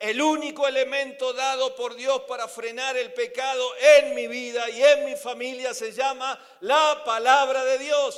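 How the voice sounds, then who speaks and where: A man talks at a fairly slow pace with an extremely high voice. Audible room echo and noticeable background noise come through. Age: 60s. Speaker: preacher. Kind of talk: sermon.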